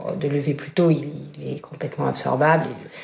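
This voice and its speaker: Noticeable background noise sits behind a woman with a very deep, low pitch. She talks at a fairly quick pace. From northern France. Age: 40s. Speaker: fashion brand founder. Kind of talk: casual chat.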